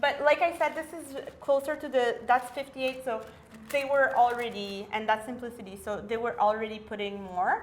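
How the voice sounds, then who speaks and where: At a fairly quick pace, a woman talks in a high pitch. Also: ordinary pitch variation, big swings in loudness. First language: French. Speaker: vintage sewing enthusiast. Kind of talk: casual tutorial chat.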